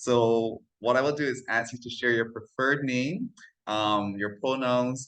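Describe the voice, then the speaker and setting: Against a quiet background, a man with a medium pitch and fairly even intonation has a normal speaking voice. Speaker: interviewer. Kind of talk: casual interview intro.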